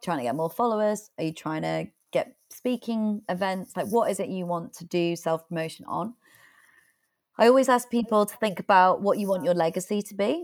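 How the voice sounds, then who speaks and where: A woman with a British accent speaks at medium pitch and a fairly quick pace on a very clean recording with a silent background. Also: ordinary pitch variation. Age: 20s. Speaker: author and public speaker. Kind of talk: interview.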